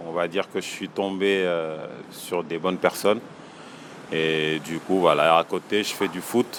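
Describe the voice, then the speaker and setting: A man speaks at a very deep, low pitch with fairly even intonation and long, frequent pauses. Noticeable background noise can be heard. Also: fairly slow pace. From Senegal. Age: 30s. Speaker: small business owner. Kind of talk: interview. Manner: hesitant, many fillers.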